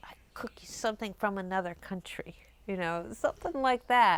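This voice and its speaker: A plain, everyday voice with an American accent, ordinary pitch variation and a moderate pace, in a very clean recording with a silent background. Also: woman. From United States. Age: 50s. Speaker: activist. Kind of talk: interview. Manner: casual, conversational.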